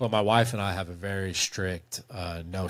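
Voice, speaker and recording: A plain, everyday voice from a man, pitched fairly low, its intonation fairly even. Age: 40s. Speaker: movie review video creator. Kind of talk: casual interview chat on a livestream.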